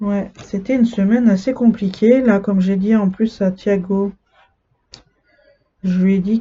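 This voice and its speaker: A woman with a somewhat breathy, medium-pitched voice talks very slowly with fairly even intonation. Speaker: cross-stitch vlogger. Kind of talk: casual chat.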